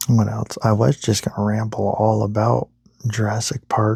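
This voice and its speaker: This man is soft-spoken and somewhat breathy, talking at a very slow pace. The sound is dry and close, with no echo. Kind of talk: ASMR boyfriend roleplay sleep ramble.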